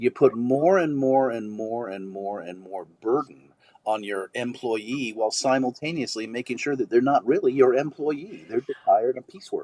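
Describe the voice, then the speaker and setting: In a plain, everyday voice of medium pitch, a man talks at a moderate pace with hardly any pauses and big swings in loudness, the sound dry and close with no echo. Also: ordinary pitch variation. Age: 60s. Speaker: actor. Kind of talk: panel discussion.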